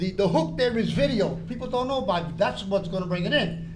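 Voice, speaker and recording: With lively intonation, a man talks as audible room echo fills the space. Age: 80s+. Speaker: public commenter at school board meeting. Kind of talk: public comment speech. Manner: loud; animated.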